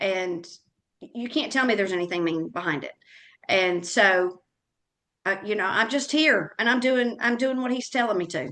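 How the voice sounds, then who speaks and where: Loud, animated and bright, sharp in tone, a woman with an American accent speaks at a moderate pace and medium pitch, her intonation lively, with long, frequent pauses. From US South. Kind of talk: interview conversation.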